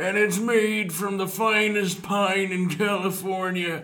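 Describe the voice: In a put-on character voice, a man speaks slowly and high for a man, his bright, sharp tone showing little pitch movement amid audible room echo.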